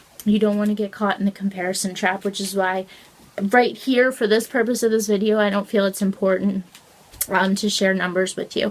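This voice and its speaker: Noticeable background noise runs under the speech. The delivery is fairly quick, with monotone, flat intonation. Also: woman, medium pitch for a woman. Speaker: small business owner vlogger. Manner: fast talker.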